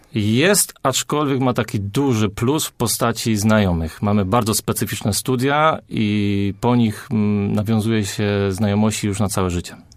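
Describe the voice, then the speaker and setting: Here a normal speaking voice moves at a moderate pace with ordinary pitch variation and very even loudness. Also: man, fairly low pitch for a man, very clean recording, silent background. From Poland, Greater Poland (small town near Wągrowiec). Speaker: architect. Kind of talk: radio interview.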